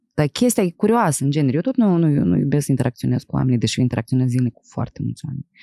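A woman's very deep, low voice, dark and mellow, with very wide pitch swings, a very fast pace and hardly any pauses, dry with no echo over a quiet background. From Moldova, Chișinău; Moldova. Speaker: podcast host and actress; podcast host. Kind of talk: casual interview. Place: studio. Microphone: studio mic.

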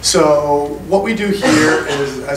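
A man is talking in a fairly high voice. Noticeable background noise can be heard. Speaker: telecom strategy manager. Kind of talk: panel discussion. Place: hall.

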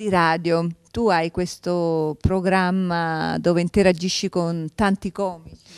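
A woman speaks very slowly in a fairly low, monotone, flat voice. The sound is dry with no echo, over a quiet background. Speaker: TV talk show host. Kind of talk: interview. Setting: studio. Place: studio. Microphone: handheld.

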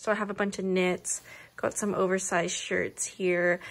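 This is a woman speaking. Her intonation is monotone and flat. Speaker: vlogger. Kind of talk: casual vlog chat. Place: home room. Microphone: phone near.

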